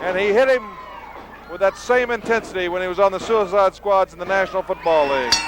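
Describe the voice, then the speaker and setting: Over noticeable background noise, a man talks at a fairly quick pace. His pitch is high, with ordinary variation. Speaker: wrestling commentator. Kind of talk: sports color commentary. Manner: excited.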